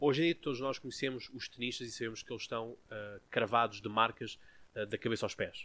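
Bright and sharp in tone, a man speaks at medium pitch. He goes at a fairly quick pace with fairly even intonation. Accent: European Portuguese. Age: 20s. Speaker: podcast host. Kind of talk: casual chat.

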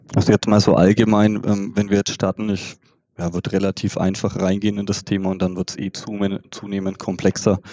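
A man talks at a fairly quick pace in a flat monotone. His pitch sits fairly low. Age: 30s. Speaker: bank treasury specialist. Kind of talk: interview explanation.

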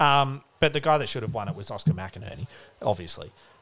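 With an Australian accent, a man talks with lively intonation and vocal fry. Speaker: podcast co-host, sports talk. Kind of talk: casual banter about sport.

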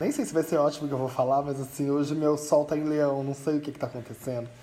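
A man is speaking. His tone is dark and mellow. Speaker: podcast co-host. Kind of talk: casual chat.

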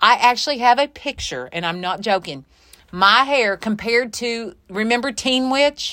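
With lively intonation and a moderate speed, a plain, everyday voice carries the words. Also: woman, fairly high pitch for a woman. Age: 50s. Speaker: podcast co-host, clothing shop owner. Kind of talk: casual chat. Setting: clothing shop.

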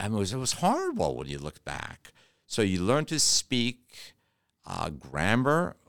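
A man with an American accent talks at a moderate pace and a medium pitch. His pitch swings very widely. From Detroit, Michigan. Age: 60s. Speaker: M&A business consultant. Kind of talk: interview. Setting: studio.

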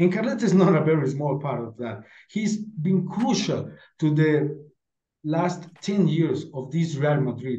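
In a room with audible echo, a man with a dark, mellow tone and a fairly high pitch speaks at a fairly slow pace with lively intonation. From Mexico. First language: Spanish. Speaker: football podcast panelist. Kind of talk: casual chat.

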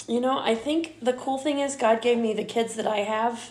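A woman talks at a medium speed while noticeable background noise plays behind her. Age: 50s. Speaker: mother of the host, baker and former teacher. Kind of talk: casual chat.

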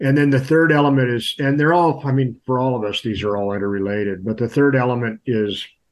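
A man with a Californian accent talks at a fairly quick pace. His pitch varies in an ordinary way. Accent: Californian American. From California, Sierra foothills. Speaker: livestock extension advisor. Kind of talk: casual interview.

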